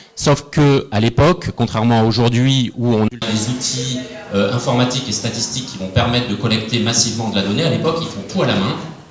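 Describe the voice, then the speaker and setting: Against noticeable background noise, a man at medium pitch talks at a fairly quick pace. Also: ordinary pitch variation. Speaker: innovation analyst, panelist. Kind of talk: panel talk. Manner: hesitant, many fillers.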